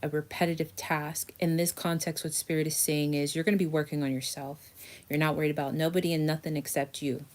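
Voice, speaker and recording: Heard in a very clean recording with a silent background, a woman with a very deep, low pitch talks at a moderate pace with fairly even intonation. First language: not English. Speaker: tarot reader. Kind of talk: tarot reading video. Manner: casual.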